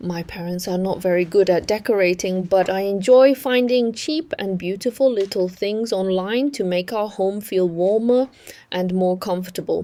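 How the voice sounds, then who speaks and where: With a Chinese accent, a woman talks at a moderate pace in a dark, mellow tone. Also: medium pitch for a woman, ordinary pitch variation. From Yunnan, China. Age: 30s. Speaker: vlogger. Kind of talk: home tour narration.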